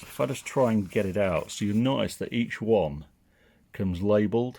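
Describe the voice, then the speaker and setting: A man with a northern English accent talks at a moderate pace, his fairly low pitch showing ordinary variation. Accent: northern English twang. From northern England. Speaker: tech product reviewer. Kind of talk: product review and unboxing. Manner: casual and conversational.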